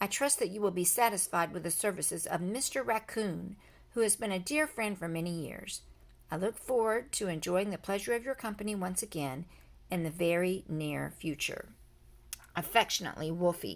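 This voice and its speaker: A female-sounding, raspy put-on character voice at a middle pitch goes along at a moderate pace in a very clean recording with a silent background. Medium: read story. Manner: formal, polite.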